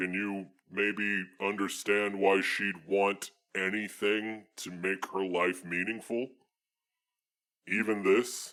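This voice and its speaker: A man uses a put-on character voice with a fairly low pitch and flat, monotone intonation, speaking at a very slow pace with long, frequent pauses. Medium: actual play. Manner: earnest, formal, addresses her as mistress.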